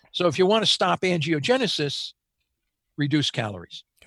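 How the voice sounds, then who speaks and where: A man with a fairly high voice and some vocal fry talks at a moderate pace, the sound dry and close with no echo and the background quiet. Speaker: cancer research professor. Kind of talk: interview. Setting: video call. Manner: passionate.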